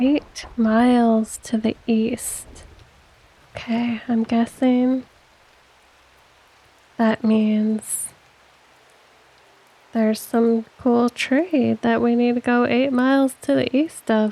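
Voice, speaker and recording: A soft-spoken woman with a high voice talks very slowly in a calm, gentle tone, her delivery monotone and flat, her loudness very even, with long, frequent pauses. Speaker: gaming video creator. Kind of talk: let's play commentary. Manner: calm, gentle pace.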